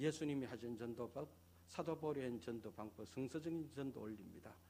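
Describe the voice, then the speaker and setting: A man with a strong Gyeongsang accent, lively intonation and a moderate pace. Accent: thick Gyeongsang dialect. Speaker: pastor. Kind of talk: sermon.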